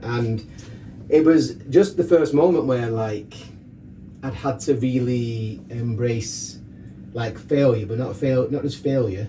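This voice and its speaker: With audible room echo and noticeable background noise, a man at medium pitch speaks with ordinary pitch variation and long, frequent pauses. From northern England, Rochdale, Greater Manchester. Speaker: fitness coach and DJ. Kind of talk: casual chat, personal story. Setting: sauna. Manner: fast.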